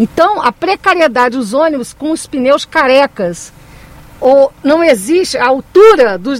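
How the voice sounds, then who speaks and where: A woman speaks at a fairly slow pace in a high voice with very wide pitch swings. Noticeable background noise runs beneath her. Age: 50s. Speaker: mayoral candidate, teacher and union activist. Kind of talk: radio interview. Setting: radio studio.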